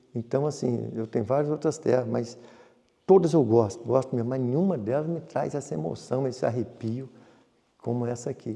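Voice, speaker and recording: A plain, everyday voice keeps to ordinary pitch variation and moves at a moderate pace. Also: man, medium pitch for a man. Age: 60s. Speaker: farmer and businessman. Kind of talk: interview.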